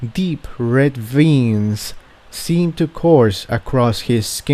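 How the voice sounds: The intonation rises and falls in a lively way. It belongs to a natural reading voice.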